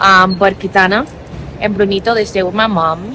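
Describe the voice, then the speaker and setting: Over noticeable background noise, a woman with a non-native accent speaks at a moderate pace in a medium pitch with fairly even intonation. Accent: noticeable foreign. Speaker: travel vlogger. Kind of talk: casual vlog talk. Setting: airport.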